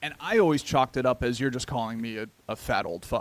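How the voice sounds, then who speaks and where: A man's unremarkable speaking voice, medium in pitch, at a fairly quick pace with ordinary pitch variation. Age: 20s. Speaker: podcast co-host. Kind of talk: casual chat.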